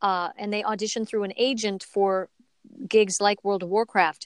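Against a quiet background, a woman speaks at medium pitch with an American accent. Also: dry, close sound with no echo. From US Midwest, Minneapolis, Minnesota. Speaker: voice actress. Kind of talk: casual interview.

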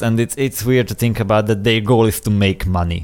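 Using a Hungarian accent, a man speaks at medium pitch with fairly even intonation. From Hungary. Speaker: podcast co-host.

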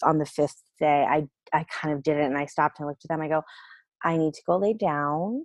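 Recorded dry and close with no echo, a woman with a very deep, low pitch speaks at a fairly quick pace. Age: 40s. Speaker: mother sharing birth story. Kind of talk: casual chat.

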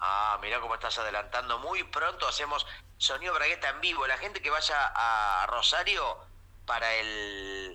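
In a Rioplatense accent, the voice moves at a fairly slow pace with lively intonation and a bright, sharp tone. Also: man, medium pitch for a man. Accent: Rioplatense Spanish (Argentine). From Argentina, Mar del Plata. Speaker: comedian. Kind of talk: casual comedic chat. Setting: remote call.

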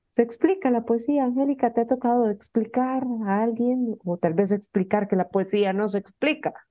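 With a warm, enthusiastic tone, a woman talks at a fairly high pitch and a moderate pace, her pitch varying in an ordinary way and hardly any pauses breaking her speech. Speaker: radio host. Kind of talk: interview chat. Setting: radio studio. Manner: warm, enthusiastic, effusive.

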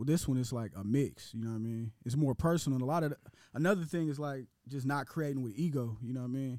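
Over a very clean recording with a silent background, a man with an American accent, a medium pitch and a dark, mellow tone talks at a very fast pace. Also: ordinary pitch variation. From Portland, Oregon. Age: 30s. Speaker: rapper. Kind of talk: casual chat.

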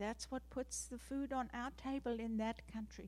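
In a South African accent, a woman speaks at a fairly slow pace. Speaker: missionary. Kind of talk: testimony. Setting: church.

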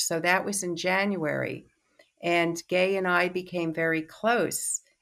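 A woman with an American accent at a medium pitch, an unremarkable speaking voice, fairly even intonation and a fairly slow pace, in a very clean recording over a silent background. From New York City. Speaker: psychoanalyst and teacher. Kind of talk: interview.

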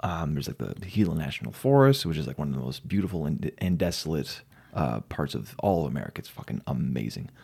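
A man talks at a very fast pace in a very deep, low voice with a dark, mellow tone, vocal fry, and very wide swings in pitch. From New Mexico, Silver City. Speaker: metal drummer. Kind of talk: casual chat.

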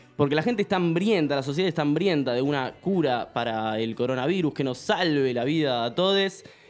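A man with a fairly high pitch talks with hardly any pauses as music plays in the background. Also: lively intonation, fairly quick pace. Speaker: podcast host. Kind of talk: casual chat.

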